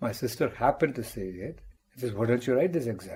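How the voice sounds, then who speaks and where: A man with an Indian accent speaks at a medium pitch in a dark, mellow, somewhat breathy tone. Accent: Indian English (Tamil). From India, Tamil Nadu (rural). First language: Tamil. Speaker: mathematics professor. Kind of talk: interview, life story.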